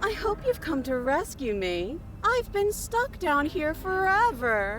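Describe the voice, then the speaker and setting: A high-pitched, put-on character voice moves at a fairly slow pace over clear background noise. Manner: sounding falsely needy, wrong.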